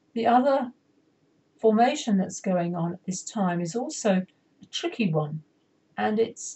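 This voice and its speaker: A woman speaks at a fairly slow pace, her somewhat breathy voice carrying lively intonation. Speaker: astrologer and soul coach. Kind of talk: astrology forecast tutorial with chart. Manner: deliberately slowed pace; halting, self-correcting.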